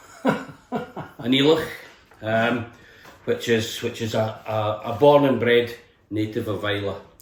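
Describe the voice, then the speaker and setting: A man with a west of Scotland accent speaks fairly slowly at a medium pitch, with fairly even intonation and long, frequent pauses. Audible room echo and noticeable background noise surround him. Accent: west of Scotland Scottish. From Scotland, Helensburgh near Glasgow. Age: 60s. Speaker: distillery tour guide. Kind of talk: casual interview chat. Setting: indoors in a cottage. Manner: hesitant, with fillers and repetitions.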